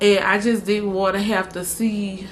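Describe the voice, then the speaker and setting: A woman speaks very slowly with a New Orleans accent. Her voice sits at a medium pitch. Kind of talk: casual talk to camera.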